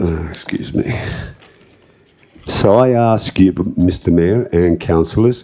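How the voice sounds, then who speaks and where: With an Australian accent, a man speaks at a fairly slow pace in a dark, mellow tone. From Australia, Liverpool area of Sydney. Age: 60s. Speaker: property owner speaking at public forum. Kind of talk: public address to council. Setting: council chamber.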